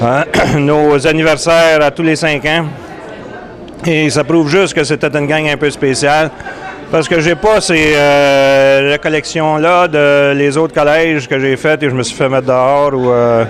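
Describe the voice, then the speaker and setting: A man speaks at a fairly slow pace in a fairly high pitch, with fairly even intonation and very even loudness over crowd noise in the background. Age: 60s. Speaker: school alumnus. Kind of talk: reunion speech. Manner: hesitant.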